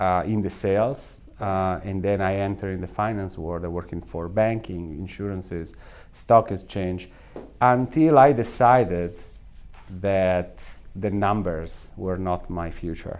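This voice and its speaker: With a strong Italian accent, a man speaks at a fairly slow pace, with very deep, low pitch and ordinary pitch variation. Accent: thick Italian. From northern Italy. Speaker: salon equipment company executive. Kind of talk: interview.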